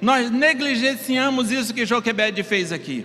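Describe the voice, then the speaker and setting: A man's raised, projected voice at an extremely high pitch, with ordinary pitch variation and a fairly slow pace, amid audible room echo and noticeable background noise. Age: 50s. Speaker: pastor. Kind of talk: sermon.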